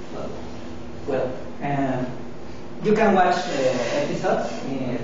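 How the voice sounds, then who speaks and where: Someone speaks at a fairly slow pace. The room echo is strong, and background noise is noticeable. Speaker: student. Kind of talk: class presentation. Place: classroom. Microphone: camera far.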